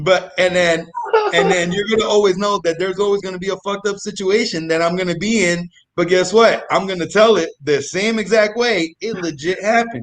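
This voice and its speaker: A man speaks loudly at a fairly quick pace, his pitch high. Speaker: comedic storyteller guest. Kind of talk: casual chat. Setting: live online show. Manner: animated.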